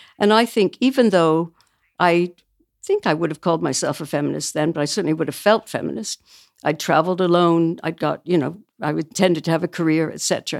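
In a Canadian accent, a woman with an unremarkable speaking voice and fairly low pitch talks at a fairly quick pace with ordinary pitch variation, in a very clean recording with a silent background and a dry, close sound with no echo. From small-town Canada. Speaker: book publisher. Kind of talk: casual chat.

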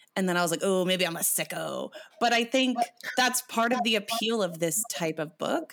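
Noticeable background noise sits behind a woman's medium-pitched voice, which is animated and lively in intonation at a moderate pace. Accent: Canadian. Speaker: podcast host and poet. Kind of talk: casual chat.

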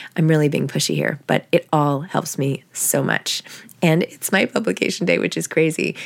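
Lively intonation carries a woman's very deep, low voice. Vocal fry runs through her speech. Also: moderate pace. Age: 40s. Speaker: podcast host and author. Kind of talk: casual interview chat.

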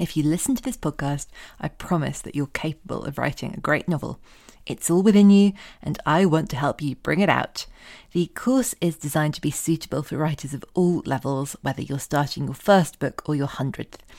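Over a silent background on a very clean recording, a woman with a very deep, low voice talks at a fairly quick pace with ordinary pitch variation. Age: 30s. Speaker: podcast host and novelist. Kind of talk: scripted announcements; casual chat.

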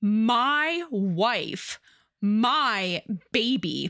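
In a put-on character voice, a woman growls. The recording is very clean, the background silent. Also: fairly high pitch for a woman. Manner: growling.

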